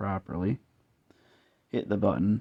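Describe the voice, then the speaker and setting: In a dry, close recording with no echo, a man with a very deep, low pitch and a dark, mellow tone speaks at a moderate pace with vocal fry. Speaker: DIY tinkerer. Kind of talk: tutorial. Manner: hesitant.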